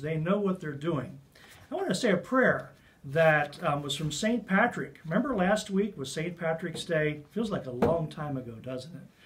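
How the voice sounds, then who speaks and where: The man has a warm tone and lively intonation. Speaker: community leader sharing a message. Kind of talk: earnest, fervent prayer read aloud, then a warm direct-to-camera pep talk. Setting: video message to community. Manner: warm, sincere, reverent; conversational, encouraging. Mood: warm, calm, reassuring. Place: office. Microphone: camera far.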